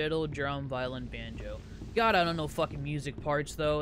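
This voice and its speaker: Room echo can be heard. The delivery is fairly quick. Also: man. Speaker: gaming YouTuber. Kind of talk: let's play commentary. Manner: laid back; animated.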